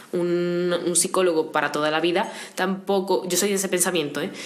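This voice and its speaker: Noticeable background noise surrounds a woman whose fairly low voice keeps fairly even intonation. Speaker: interview guest sharing mental health experience. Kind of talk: casual interview conversation.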